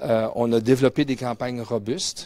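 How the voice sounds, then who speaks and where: A man speaks with a Quebec accent and fairly even intonation. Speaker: mining company executive and geologist. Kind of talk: conference presentation. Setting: conference room with audience, webcast. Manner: hesitant, many fillers and repetitions.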